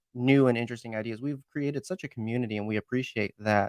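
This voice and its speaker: A loud man talks with ordinary pitch variation. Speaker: podcast host. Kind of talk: casual chat. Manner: animated.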